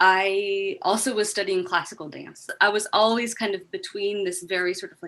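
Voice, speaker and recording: A woman with an American accent has a bright, sharp tone at a medium pitch. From Southern California. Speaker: PhD student, anthropologist. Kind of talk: interview.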